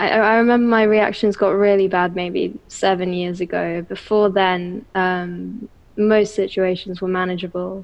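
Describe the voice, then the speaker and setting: A woman with an English accent speaks at a medium pitch with fairly even intonation. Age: 20s. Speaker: bookseller with misophonia. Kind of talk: interview.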